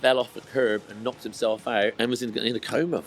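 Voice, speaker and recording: A man talks in a Bristol accent over noticeable background noise. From Bristol, England. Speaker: skateboard distributor. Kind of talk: podcast interview answer. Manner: casual, chatty.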